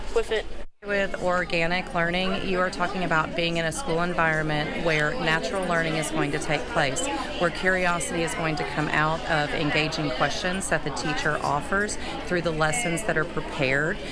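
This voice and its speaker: Music plays in the background. A woman speaks at a moderate pace with ordinary pitch variation. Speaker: middle school teacher. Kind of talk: interview answer. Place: hall.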